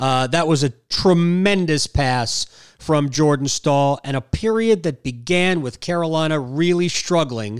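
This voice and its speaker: A man with a plain, everyday voice speaks at a fairly slow pace, his pitch fairly high and his intonation lively. The recording is very clean, with a silent background. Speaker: podcast host. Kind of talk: post-game hockey podcast, casual analysis.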